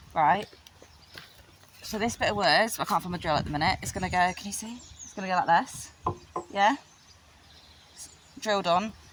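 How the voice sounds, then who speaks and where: Noticeable background noise sits under a woman's medium-pitched voice. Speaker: horse owner vlogger. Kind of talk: casual vlog. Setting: outdoors. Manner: fast.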